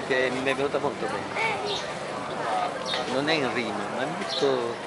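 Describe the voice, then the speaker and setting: A man at a moderate pace over loud background noise, the sound dry with no echo. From Tropea, Calabria. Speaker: dialect poet. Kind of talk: interview answer. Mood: warm, amused reminiscing. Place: street. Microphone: phone near.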